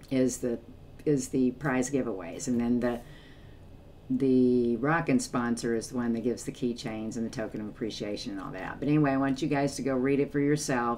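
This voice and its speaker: Using fairly even intonation, a woman talks at a fairly quick pace in a very deep, low voice. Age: 60s. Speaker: music reaction YouTuber. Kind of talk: casual vlog talk to viewers. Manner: hesitant, many fillers.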